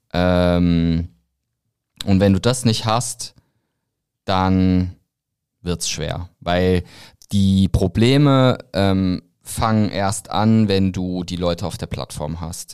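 On a very clean recording with a silent background, a man with a very deep, low pitch speaks at a very slow pace with long, frequent pauses. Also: ordinary pitch variation. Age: 30s. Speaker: founder of a creator marketing platform. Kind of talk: casual interview. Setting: studio.

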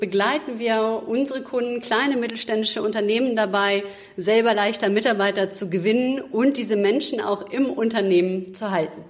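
A woman speaks at a moderate pace with medium pitch and ordinary pitch variation. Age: 30s. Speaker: recruitment consultant. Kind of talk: interview. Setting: studio. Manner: hesitant, many fillers.

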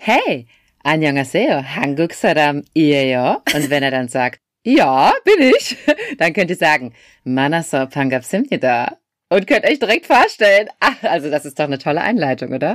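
In a very clean recording with a silent background, a woman with a very deep, low voice speaks at a fairly slow pace with lively intonation. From Germany. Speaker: podcast host. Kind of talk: language tutorial.

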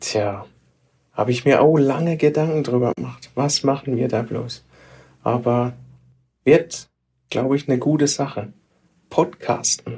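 The voice has a dark, mellow tone and is somewhat breathy, with ordinary pitch variation. It moves at a fairly slow pace, broken by long, frequent pauses. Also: man, medium pitch for a man. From Baden, southwest Germany. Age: 40s. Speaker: IT specialist, podcast co-host. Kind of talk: casual chat.

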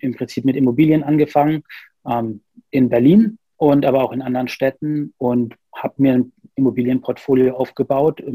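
At a moderate pace, a man of medium pitch with a dark, mellow tone speaks with fairly even intonation. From Bavaria, Nuremberg (Franconia). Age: 30s. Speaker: psychologist and private investor. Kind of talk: interview. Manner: hesitant, many fillers.

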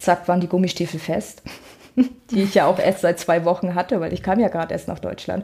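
Her voice is fairly low, with a dark, mellow tone and some breathiness. The woman talks at a fairly quick pace, with ordinary pitch variation. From northern Germany, Rostock. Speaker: dog trainer. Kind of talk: casual chat.

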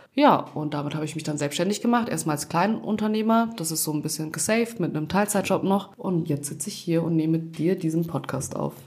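A woman's fairly low voice at a fairly quick pace, hardly any pauses, ordinary pitch variation, and noticeable background noise. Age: 20s. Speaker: podcast co-host, law graduate. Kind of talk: casual chat.

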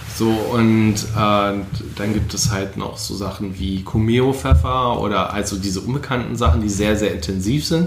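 A man with a fairly low pitch and ordinary pitch variation speaks at a fairly slow pace, with audible room echo and noticeable background noise. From Rhineland, Germany (Leverkusen). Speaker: spice trader. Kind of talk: casual chat.

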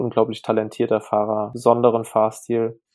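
With flat, monotone intonation, a man speaks at a moderate pace and a medium pitch. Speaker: enduro mountain bike racer. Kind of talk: casual interview.

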